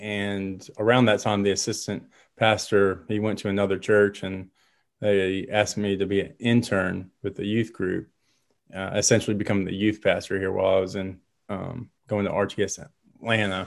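A man with an American accent, fairly low in pitch, at a moderate pace, in a monotone, flat intonation, over a quiet background. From Detroit area, then Savannah, Georgia from age 11. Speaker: associate pastor. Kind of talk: casual interview conversation. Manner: hesitant, many fillers and repeats.

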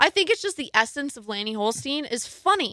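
Raised and projected, a woman's voice sounds animated, bright and sharp, with very wide pitch swings and a dry, close sound with no echo. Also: very clean recording, silent background. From rural area. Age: 20s. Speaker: podcast guest. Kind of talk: casual chat.

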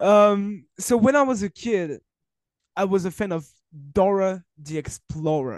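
A man with a French accent, high-pitched, at a fairly slow pace with ordinary pitch variation. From France. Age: 20s. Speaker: wrestling journalist. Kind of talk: casual interview conversation. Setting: remote recording, video call. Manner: halting, searching for words.

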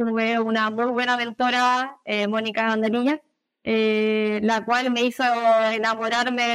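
A woman with a Chilean accent speaks at a fairly slow pace in a fairly high pitch, with monotone, flat intonation and very even loudness, on a very clean recording with a silent background. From Chile, Viña del Mar. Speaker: animal nutritionist. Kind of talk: interview.

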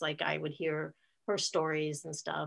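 A woman speaks at a moderate pace with a bright, sharp tone. Her pitch sits fairly low. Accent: Midwestern American. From US Midwest (northeast Ohio). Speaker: aunt of the host, grandmother. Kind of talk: interview.

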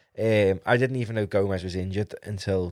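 A man talks in a very deep, low pitch with a Liverpool accent. The recording is very clean, with a silent background. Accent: Scouse. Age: 20s. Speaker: football podcast host. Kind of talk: casual solo commentary.

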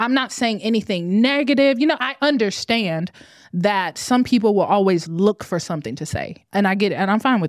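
The speaker sounds animated, with lively intonation and a fairly quick pace, on a very clean recording with a silent background. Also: woman, medium pitch for a woman. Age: 30s. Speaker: content creator. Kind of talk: casual chat.

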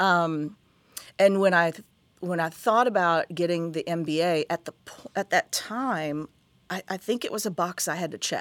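A woman with an American accent speaks in a normal speaking voice at a moderate pace, with ordinary pitch variation and a dry, close sound with no echo. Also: fairly low pitch for a woman, big swings in loudness. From West Virginia, Huntington. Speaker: TV station executive. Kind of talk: interview.

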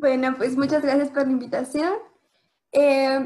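A woman talks at a moderate pace in a high voice. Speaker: engineering student. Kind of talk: interview.

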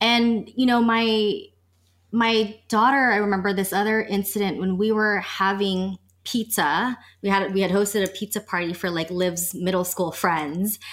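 In a very clean recording with a silent background, an ordinary speaking voice proceeds at a moderate pace. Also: woman, medium pitch for a woman. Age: 30s. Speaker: sex and relationship coach. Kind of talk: casual chat.

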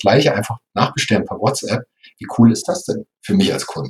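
Lively intonation marks this man's medium-pitched speech at a fairly quick pace. He has a plain, everyday voice. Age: 50s. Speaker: software company executive. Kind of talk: interview.

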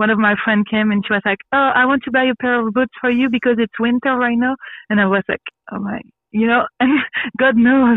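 Her fairly high voice moves at a fairly quick pace as the woman talks. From Belgium (born Brussels, grew up in a village). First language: French. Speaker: radio host and actress. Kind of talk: testimony. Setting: video call. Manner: animated, frequently laughing.

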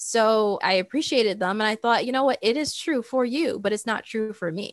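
With an American accent and a normal speaking voice, a woman pitched fairly high talks at a fairly quick pace with ordinary pitch variation, on a very clean recording with a silent background. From US and Saudi Arabia. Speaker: tech entrepreneur. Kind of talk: casual interview chat.

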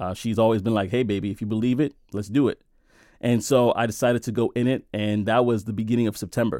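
A medium-pitched man with an American accent, dark and mellow in tone, at a very fast pace with fairly even intonation, on a very clean recording with a silent background. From Brooklyn, New York. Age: 30s. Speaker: tech sales worker, father of six. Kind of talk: interview testimony.

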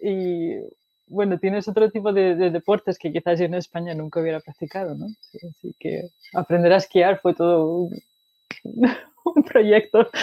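This woman's medium-pitched voice has a dark, mellow tone, fairly even intonation and big swings in loudness. She talks at a fairly slow pace in a dry, close sound with no echo. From Spain, Asturias. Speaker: data analytics expert, mechanical engineer. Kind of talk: interview.

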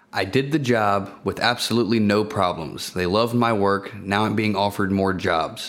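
A man's unremarkable speaking voice, fairly low in pitch, at a moderate pace. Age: 20s. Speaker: business owner and investor. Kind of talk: personal story monologue.

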